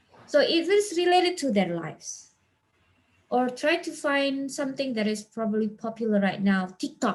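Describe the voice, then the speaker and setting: The speech moves at a moderate pace with big swings in loudness. The pitch swings very widely too. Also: woman, high pitch for a woman. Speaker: teacher and guest speaker. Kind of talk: webinar Q&A talk. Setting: video call webinar. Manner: lively.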